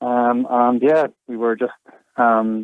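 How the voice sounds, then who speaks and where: A man with a Northern Irish accent speaks at medium pitch. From Northern Ireland. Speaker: kayak and e-bike hire business owner. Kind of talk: radio interview. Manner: hesitant, many fillers.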